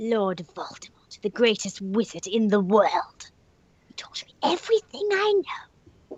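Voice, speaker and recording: A woman uses a put-on character voice at a moderate pace, her pitch fairly high. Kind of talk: comic impression. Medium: game stream.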